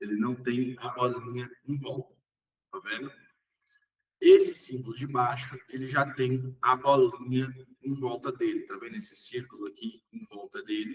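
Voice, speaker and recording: A man speaks at a medium pitch and a fairly slow pace, somewhat breathy, with fairly even intonation. His loudness swings widely. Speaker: umbanda teacher. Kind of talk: online lecture.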